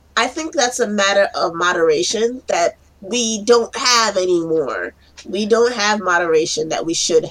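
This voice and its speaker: Amid noticeable background noise, a medium-pitched woman speaks at a moderate pace with lively intonation. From New York City (Brooklyn). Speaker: foster care case planner and podcast co-host. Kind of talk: casual chat.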